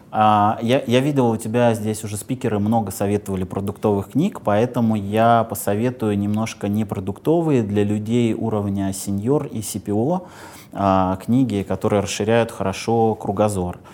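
At a moderate pace, a man with a fairly low pitch and a dark, mellow tone speaks with fairly even intonation. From Moscow region, Russia. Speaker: bank product executive. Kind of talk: interview. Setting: studio.

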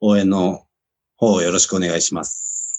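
This man's voice sits fairly low in pitch, and he talks at a moderate pace. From Japan, Kumagaya, Saitama. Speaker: professional rugby player. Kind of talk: casual interview.

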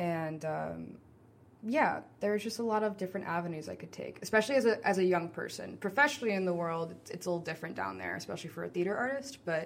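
A woman with an American accent speaks at a very fast pace. Her fairly low voice has lively intonation. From New Orleans, US. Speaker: actor and theater artist. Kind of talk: casual interview.

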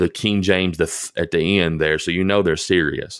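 A man speaks at a very deep, low pitch and a moderate pace, with a Tennessee accent. His intonation stays fairly even on a very clean recording with a silent background. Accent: Southern US (Tennessee). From US South, rural southern Middle Tennessee. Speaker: pastor. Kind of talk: storytelling in casual interview. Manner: hesitant, many fillers and repeats.

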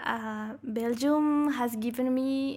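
A woman with a Spanish accent speaks in a high voice, recorded very cleanly against a silent background. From Bolivia. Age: 20s. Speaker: master's student. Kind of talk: interview. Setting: studio.

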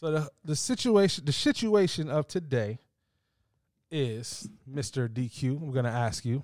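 Lively intonation marks a man's fairly high-pitched voice, a plain, everyday voice delivered at a fairly slow pace. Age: 20s. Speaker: podcast host. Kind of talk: casual chat.

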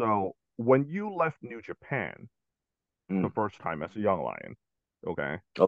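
Pausing long and often, a man with a medium-pitched voice and vocal fry speaks with very wide pitch swings and big swings in loudness. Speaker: podcast co-host. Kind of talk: casual chat.

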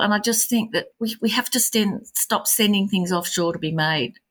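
A somewhat breathy woman speaks with an Australian accent on a very clean recording with a silent background. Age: 60s. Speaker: artist and small business owner. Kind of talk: interview.

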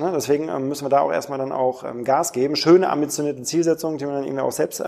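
A man talks at a very fast pace with a fairly high pitch. There is noticeable background noise. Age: 30s. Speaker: e-commerce product manager. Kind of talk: interview. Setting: airport lounge.

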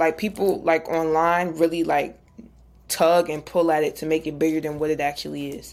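Her pitch fairly low, a woman talks at a moderate pace. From New Jersey. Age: 20s. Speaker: content creator and radio show host. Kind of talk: podcast interview.

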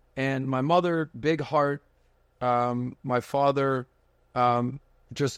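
Over a silent background in a very clean recording, a man speaks with fairly high pitch and fairly even intonation. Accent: American. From Miami, Florida. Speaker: podcast host and finance entrepreneur. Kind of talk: casual interview chat. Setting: studio.

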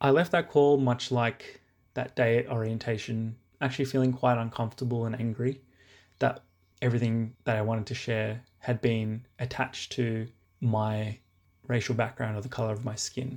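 On a very clean recording with a silent background, a man with an Australian accent speaks at a medium pitch and a moderate pace. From Sydney, Australia. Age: 20s. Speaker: listener sharing a story. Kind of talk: testimony.

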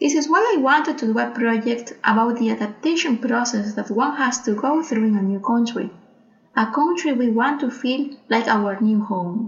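A woman with a Spanish accent speaks at a high pitch over noticeable background noise. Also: ordinary pitch variation, moderate pace. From Peru. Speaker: artist. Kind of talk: audio guide narration. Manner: formal.

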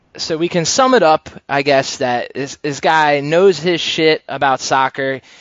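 A man talks in a normal speaking voice with a General American accent. His pace is fairly slow, with hardly any pauses and ordinary pitch variation. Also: fairly high pitch for a man. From Pennsylvania. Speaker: podcast host. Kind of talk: casual interview chat. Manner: filler-heavy, uh and um.

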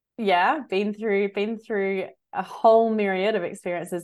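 With an Australian accent, a woman talks at a moderate pace and medium pitch on a very clean recording with a silent background. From Australia, Adelaide. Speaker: holistic health coach and teacher. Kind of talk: interview.

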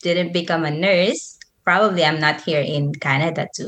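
A woman at a fairly slow pace, with a Filipino accent. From Philippines, Manila. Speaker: YouTuber and motivational speaker. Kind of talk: casual interview chat.

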